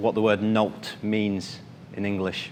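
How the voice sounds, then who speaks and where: A man speaks at a very slow pace. Audible room echo and noticeable background noise sit around his voice. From northern England. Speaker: finance professional giving a club speech. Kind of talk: prepared speech. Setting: stage with audience.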